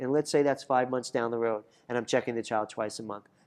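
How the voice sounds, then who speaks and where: A man at a medium pitch and a very fast pace, with ordinary pitch variation, over a quiet background. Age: 50s. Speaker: chiropractor. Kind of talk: interview.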